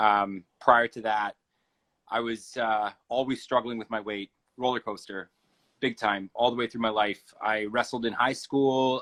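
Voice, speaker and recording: At a fairly slow pace, a man speaks in a plain, everyday voice at medium pitch with fairly even intonation, the sound dry and close with no echo. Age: 40s. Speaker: keto coach and band front man. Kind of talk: interview.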